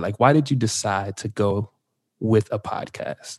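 In a quiet background with a dry, close sound and no echo, a man with an American accent and an ordinary speaking voice speaks fairly low at a fairly slow pace. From New Jersey. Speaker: podcast co-host and editor. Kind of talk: casual chat. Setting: video call.

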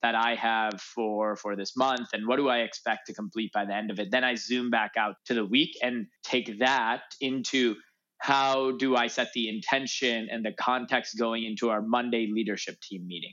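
A man with a plain, everyday voice speaks in an American accent at a medium pitch, with fairly even intonation and hardly any pauses. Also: moderate pace. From US Midwest, Chicago north suburbs. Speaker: startup founder and CEO. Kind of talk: interview.

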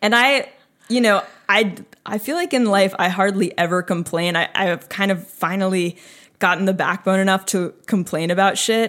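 Speaking at a moderate pace, a woman uses a plain, everyday voice with an American accent. Her pitch sits at medium with fairly even intonation. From northern New Jersey. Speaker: guest. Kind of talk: casual chat.

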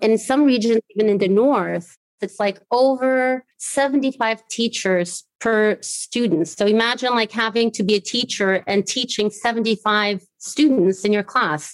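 In a normal speaking voice, a woman with a fairly high pitch talks at a fairly slow pace with ordinary pitch variation and very even loudness, recorded dry and close with no echo. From Brazil, trilingual upbringing (American mother, German father). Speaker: education specialist at an NGO. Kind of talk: interview. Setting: home office, remote.

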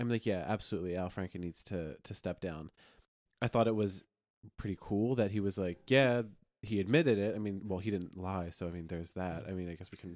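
A man with an American accent speaks at a fairly low pitch, with ordinary pitch variation. It is a plain, everyday voice on a very clean recording with a silent background. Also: fairly quick pace. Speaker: podcast host. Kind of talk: casual chat.

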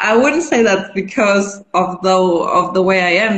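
A woman speaks at a medium pitch with a German accent. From western Germany, near Düsseldorf. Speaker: NGO founder. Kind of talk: interview. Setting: Instagram live stream.

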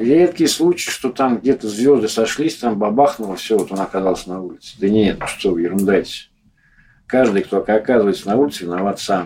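A man with a fairly low pitch and a dark, mellow tone, fairly quick pace and lively intonation, on a very clean recording with a silent background. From Moscow. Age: 40s. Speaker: homeless man. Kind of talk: interview.

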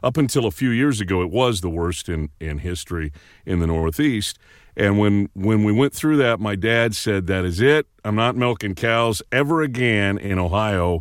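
A man speaks at a moderate pace with a fairly low pitch. His intonation is lively, with an American accent. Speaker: radio veteran and voice actor. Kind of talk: casual interview. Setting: small home recording booth, remote.

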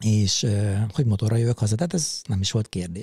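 In a very clean recording with a silent background and a dry, close sound with no echo, a man speaks at a moderate pace in a dark, mellow, somewhat breathy tone. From Hungary, Szabolcs-Szatmár-Bereg county (Mátészalka). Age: 50s. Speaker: podcast co-host, motorcyclist, café owner. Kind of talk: casual chat. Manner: halting, many repeated filler words.

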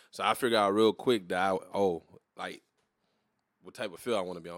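A man's fairly low voice in a south Louisiana accent, at a fairly quick pace with fairly even intonation. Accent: south Louisiana US Southern. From Louisiana, New Iberia. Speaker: podcast co-host. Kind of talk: casual chat.

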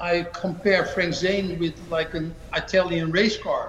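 A man speaks at a high pitch. Room echo can be heard. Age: 50s. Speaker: bodybuilding coach and former pro bodybuilder. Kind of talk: interview. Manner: halting.

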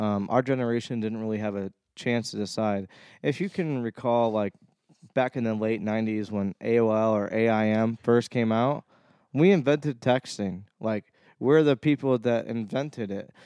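The speaker has an American accent and a dark, mellow tone, with ordinary pitch variation at a moderate pace. The sound is dry and close with no echo, over a quiet background. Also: man, medium pitch for a man. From Ohio, Cleveland. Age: 20s. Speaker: DJ and music producer. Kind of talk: casual chat. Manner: animated.

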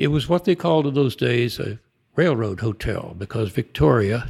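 A somewhat breathy man talks with lively intonation on a very clean recording with a silent background. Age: 80s. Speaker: author and retired civil engineer. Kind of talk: casual interview conversation.

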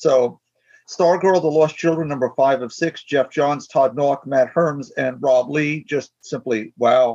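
A man's plain, everyday voice, fairly high-pitched, with ordinary pitch variation and a fairly slow pace. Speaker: podcast co-host. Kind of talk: casual chat.

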